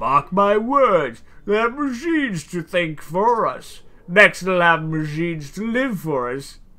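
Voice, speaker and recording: On a very clean recording with a silent background, a woman uses a put-on character voice at medium pitch, with very wide pitch swings and a fairly slow pace. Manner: comically deep.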